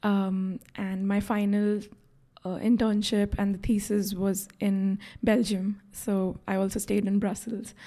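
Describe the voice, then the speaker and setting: On a very clean recording with a silent background, a woman talks at a fairly slow pace with a medium pitch, a dark, mellow tone, a somewhat breathy sound and monotone, flat intonation. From India. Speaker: health economics graduate student. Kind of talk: interview. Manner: hesitant with fillers.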